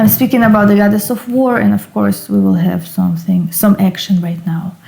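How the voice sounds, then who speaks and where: A woman at medium pitch with a non-native accent, fairly quick, with ordinary pitch variation and noticeable background noise. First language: not English. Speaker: occult and tarot YouTuber. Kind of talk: casual book review. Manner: hesitant, with fillers.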